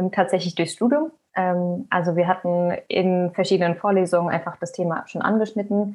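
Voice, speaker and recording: At a moderate pace, a woman uses an ordinary speaking voice with medium pitch and ordinary pitch variation. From Germany, Hesse (near Frankfurt). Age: 20s. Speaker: recent graduate, researcher. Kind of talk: podcast interview at live event.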